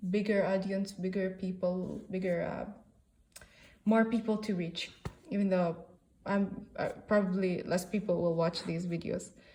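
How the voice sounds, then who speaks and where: Somewhat breathy and pitched in the middle range, a woman with an Arabic accent talks in a dark, mellow tone with monotone, flat intonation and long, frequent pauses. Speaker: book reviewer. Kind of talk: casual book review monologue. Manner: halting, many fillers.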